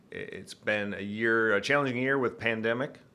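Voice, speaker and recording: With a Michigan accent, a man talks at a fairly quick pace in a medium pitch and a bright, sharp tone. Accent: Michigan, northern US. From Michigan, US. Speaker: retired Air Force pilot, innovation director. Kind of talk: interview about innovation work.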